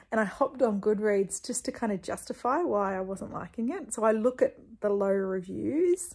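Against a quiet background, a woman speaks in a somewhat breathy voice with lively intonation. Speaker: book vlogger. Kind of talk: casual vlog chat. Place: home room. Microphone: phone near.

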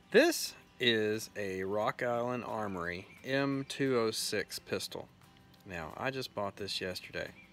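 Faint music plays behind a man whose voice sounds dry, with no echo. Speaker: farm channel host. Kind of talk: casual vlog chat. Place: garden. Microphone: phone near.

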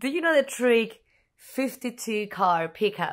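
A woman with a Spanish accent speaks at a very slow pace and a fairly high pitch, her tone playful and her intonation lively, against a quiet background. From Spain. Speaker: magician. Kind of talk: casual ASMR talk to camera. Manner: playful, chatty.

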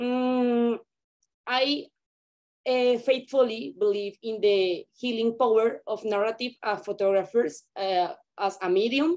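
Against a quiet background, a woman with a Spanish accent speaks very slowly at a fairly high pitch with ordinary pitch variation. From Colombia. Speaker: photographer. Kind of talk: reading a prepared presentation. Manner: halting, hesitant. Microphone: video call.

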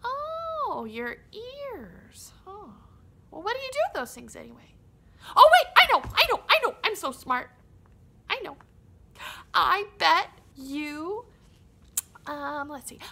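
In a cartoonish character voice, a woman uses a raised, projected voice at an extremely high pitch and a fairly slow pace, with long, frequent pauses. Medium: puppet. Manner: excitable, goofy.

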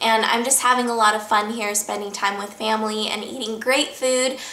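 A woman speaks at a moderate pace. Room echo is audible around her voice. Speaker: vlogger. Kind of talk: casual vlog chat. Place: home room. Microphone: camera far.

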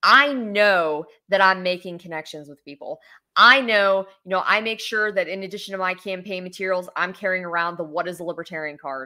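Against a quiet background, a woman with an American accent speaks fairly quickly in a bright, sharp tone, with ordinary pitch variation and big swings in loudness. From West Virginia. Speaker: political candidate and lawyer; candidate, lawyer. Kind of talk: interview. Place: home room. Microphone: webcam.

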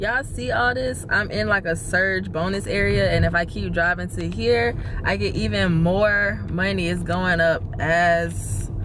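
A woman's very deep, low voice with very wide pitch swings at a fairly slow pace, dry with no echo, over noticeable background noise. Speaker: rideshare driver vlogger. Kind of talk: casual vlog chat. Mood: excited, amused. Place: car.

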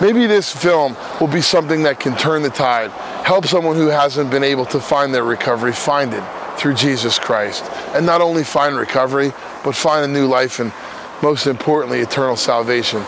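This man has an American accent and a fairly high pitch with ordinary pitch variation. Noticeable background noise is present. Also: fairly quick pace, dry sound with no echo. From New Jersey. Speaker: recovering addict and former prisoner. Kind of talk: fundraising appeal to camera. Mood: earnest, heartfelt. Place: open country.

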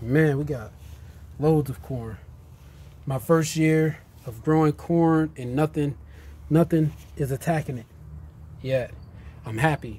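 A man with a fairly high pitch and a dark, mellow tone talks at a fairly slow pace, somewhat breathy, with ordinary pitch variation, big swings in loudness, and long, frequent pauses. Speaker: home gardener vlogger. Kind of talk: casual garden tour vlog. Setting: outdoors in a garden. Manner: casual and enthusiastic. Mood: pleased, relaxed. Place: garden. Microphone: phone near.

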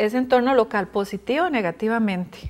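This woman's voice has ordinary pitch variation. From Costa Rica. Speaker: housing foundation coordinator; guest. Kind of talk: interview; interview answer. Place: studio. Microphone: lapel.

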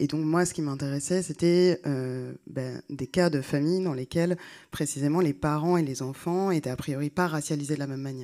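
A woman with a very deep, low pitch and a dark, mellow tone speaks at a moderate pace, her intonation fairly even, over a quiet background. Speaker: sociologist; speaker. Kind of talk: panel talk. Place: hall. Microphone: handheld.

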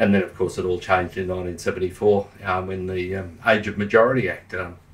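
Here is a man with an Australian accent and a fairly low pitch. He sounds somewhat breathy and talks at a moderate pace. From Queensland, Australia. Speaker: local councillor and crime historian; local councillor. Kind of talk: casual chat. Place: studio.

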